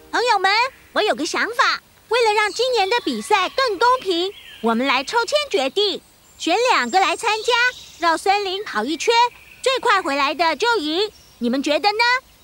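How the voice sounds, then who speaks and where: This is a cartoonish character voice. The pitch is extremely high. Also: moderate pace. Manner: polite, formal.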